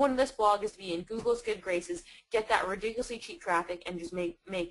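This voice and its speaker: This woman's speech moves at a very fast clip. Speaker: online marketing expert. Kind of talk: webinar interview.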